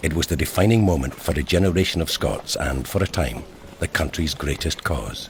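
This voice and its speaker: Noticeable background noise around a man's voice and its very wide pitch swings. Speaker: actor. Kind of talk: documentary narration.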